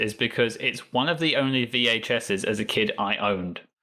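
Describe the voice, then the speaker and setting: A man talks with a southern English accent. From England. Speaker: podcast guest, Star Trek fan. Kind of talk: casual interview chat.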